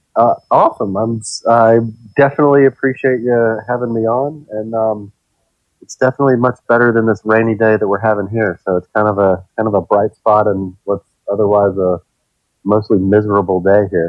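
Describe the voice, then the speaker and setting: A man talks in an ordinary speaking voice at a fairly low pitch. His pace is fairly quick and his intonation fairly even. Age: 40s. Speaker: architect, keto blogger. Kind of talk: podcast interview.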